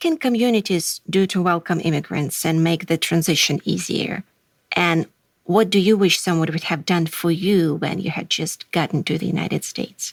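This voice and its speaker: In a Russian accent, a woman talks at a fairly low pitch and a moderate pace, the sound dry and close with no echo. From Russia, Moscow. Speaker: podcast host. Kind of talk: podcast interview.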